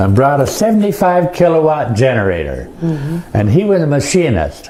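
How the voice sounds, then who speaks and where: Over noticeable background noise, a man speaks at a moderate pace. His fairly high pitch swings very widely. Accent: American. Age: 80s+. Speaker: Monteverde founding settler, war veteran. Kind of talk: presentation to an audience, historical talk.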